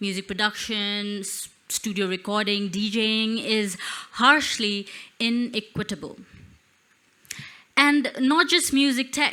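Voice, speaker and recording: The speaker leaves long pauses, and often. The tone is bright and sharp at a fairly slow pace. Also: woman, fairly high pitch for a woman, ordinary pitch variation. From Nepal. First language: Newa (Newari). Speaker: spoken word poet and musician. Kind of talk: stage presentation with performance.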